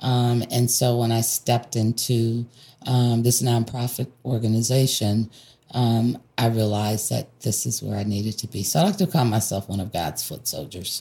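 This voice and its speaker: A woman's very deep, low-pitched, somewhat breathy voice with a dark, mellow tone, in an American accent. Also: ordinary pitch variation, moderate pace. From US Northeast, Rochester, New York. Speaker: nonprofit health program manager. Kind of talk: interview. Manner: hesitant, many filler words.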